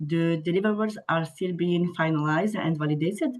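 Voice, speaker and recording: A woman speaks with a French accent. Her pitch variation is ordinary. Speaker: government climate focal point. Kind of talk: presentation.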